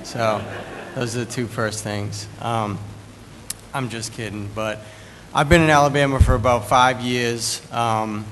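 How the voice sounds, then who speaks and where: Medium-pitched male speech in a Boston accent at a fairly slow pace, with long, frequent pauses, big swings in loudness, audible room echo and noticeable background noise. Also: fairly even intonation. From US Northeast, Boston. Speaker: recovering addict speaker. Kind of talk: testimony.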